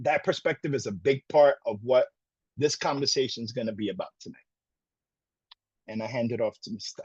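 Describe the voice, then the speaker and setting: A man's medium-pitched, somewhat breathy voice at a fairly quick pace, with ordinary pitch variation, big swings in loudness, long, frequent pauses, and a dry, close sound free of echo. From Brooklyn, New York (Puerto Rican). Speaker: college program director. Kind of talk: presentation. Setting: virtual session.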